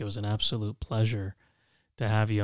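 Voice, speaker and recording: A man with a fairly low pitch speaks in a calm, soothing tone, the sound dry and close with no echo and the recording very clean over a silent background. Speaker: podcast host. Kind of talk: conversational, warm.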